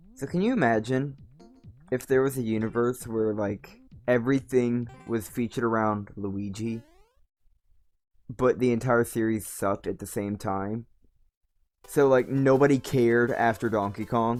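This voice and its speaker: A man at a medium pitch and moderate pace, with long, frequent pauses and music in the background. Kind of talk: casual gameplay stream commentary. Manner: unenthusiastic.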